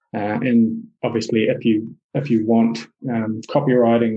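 A man's medium-pitched voice in a New Zealand accent, with fairly even intonation. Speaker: SEO specialist. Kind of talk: interview conversation.

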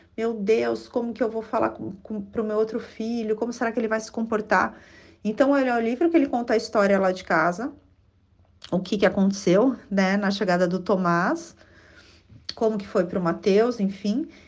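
Moderately paced speech from a woman, fairly high in pitch with ordinary variation. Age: 40s. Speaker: author and speech therapist. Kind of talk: interview. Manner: hesitant, many fillers.

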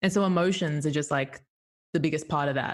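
A woman's very deep, low voice with an Australian accent. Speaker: improv teacher and comedian. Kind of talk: casual interview chat. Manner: animated, enthusiastic.

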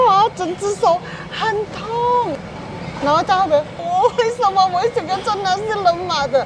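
Noticeable background noise under a woman's moderately paced speech. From Penang, Malaysia. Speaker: hawker stall owner, former flight attendant. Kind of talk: personal testimony interview.

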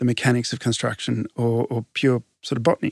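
Over a quiet background, the sound is dry and close, with no echo. The man talking has an Australian accent. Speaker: landscape architect. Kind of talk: interview. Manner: animated.

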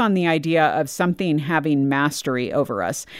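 A woman with an ordinary speaking voice and a fairly low pitch uses lively intonation on a very clean recording with a silent background. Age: 40s. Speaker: podcast host. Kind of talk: casual chat.

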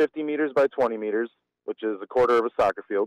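In an American accent, a man talks at a fairly quick pace in a dry, close recording with no echo. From Wisconsin, Germantown. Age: 30s. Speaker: fistball player. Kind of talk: casual interview.

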